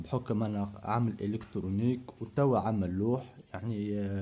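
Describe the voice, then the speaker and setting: A man's fairly low, somewhat breathy voice with a dark, mellow tone, fairly even intonation and a Tunisian accent. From northwest Tunisia, Ain Draham. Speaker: carpentry worker. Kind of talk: interview testimony. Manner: halting.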